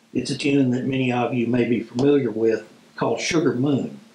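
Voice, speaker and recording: Audible room echo surrounds speech delivered at a fairly slow pace. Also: man. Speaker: instructor. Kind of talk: tutorial. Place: home room.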